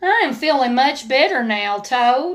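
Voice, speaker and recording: In a put-on character voice, a female-sounding speaker talks at a high pitch and a moderate pace. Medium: read story. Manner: gentle, reassuring.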